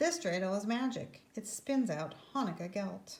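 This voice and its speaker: A woman puts on a gruff character voice at a medium pitch. She speaks at a moderate pace. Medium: read story. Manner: gruff, muttering.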